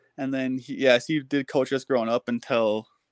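A man with a normal speaking voice and an American accent talks at a fairly slow pace in a medium pitch. His intonation is fairly even, and the sound is dry and close with no echo over a quiet background. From Minnesota. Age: 20s. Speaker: professional hockey player. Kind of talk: interview.

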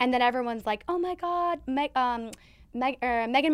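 A woman with an American accent speaks at a moderate pace in an animated tone with ordinary pitch variation. The recording is very clean, with a silent background. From Minnesota, US. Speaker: marketing consultant, athlete's wife. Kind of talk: casual interview chat. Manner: talkative.

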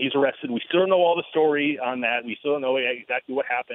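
A man's fairly high voice with an American accent, very fast, with ordinary pitch variation. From Michigan, Ann Arbor. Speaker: sports journalist. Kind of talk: sports talk interview.

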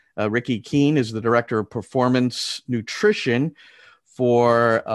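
Fairly slow speech from a man at medium pitch with ordinary pitch variation, in an ordinary speaking voice. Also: quiet background. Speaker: podcast host. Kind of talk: interview conversation.

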